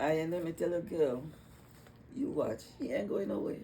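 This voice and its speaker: A woman with a Trinidadian accent and lively intonation. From Trinidad and Tobago (Tobago). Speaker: retired psychiatric nurse. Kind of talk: casual interview chat. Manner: halting, repetitive starts.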